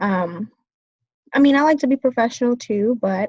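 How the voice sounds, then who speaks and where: A woman speaks with a somewhat breathy voice and ordinary pitch variation. The sound is dry and close, with no echo. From US, Vietnamese-American family. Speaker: business student. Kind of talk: class presentation. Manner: hesitant, many fillers.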